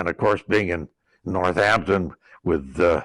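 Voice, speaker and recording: A man speaks at a very deep, low pitch and a fairly slow pace. The recording is very clean with a silent background. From western Massachusetts, US. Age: 100s (80s+). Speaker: war veteran. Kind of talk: oral history interview. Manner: halting, with many fillers and repetitions.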